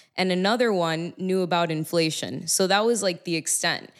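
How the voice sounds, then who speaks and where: A woman's normal speaking voice in an American accent, at a fairly slow pace with fairly even intonation, on a very clean recording with a silent background. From Miami, Florida. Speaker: music artist and bitcoin advocate. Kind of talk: casual chat. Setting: on location at a venue.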